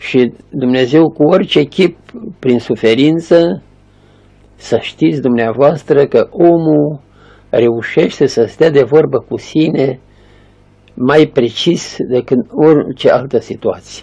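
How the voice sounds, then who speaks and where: This man's voice has a dark, mellow tone and ordinary pitch variation. He speaks at a very slow pace. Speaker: elderly monk, spiritual elder. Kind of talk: spiritual sermon or teaching. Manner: earnest, didactic. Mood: calm, earnest, gentle. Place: home room.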